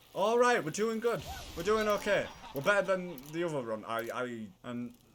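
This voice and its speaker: Very wide pitch swings and an animated tone at a moderate pace, with a strong northern English accent. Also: man. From northern England. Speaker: gaming video creator. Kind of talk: gameplay commentary.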